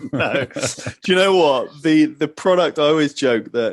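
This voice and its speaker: A man with a British accent and fairly high pitch in a quiet background. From England, London. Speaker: fitness entrepreneur, former footballer. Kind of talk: podcast interview.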